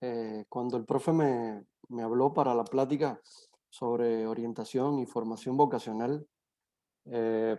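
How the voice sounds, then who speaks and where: Over a quiet background, a man talks at a fairly slow pace. His tone is dark and mellow, with fairly even intonation. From Cuba. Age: 30s. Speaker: psychologist. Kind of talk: online talk to students. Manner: hesitant, many fillers.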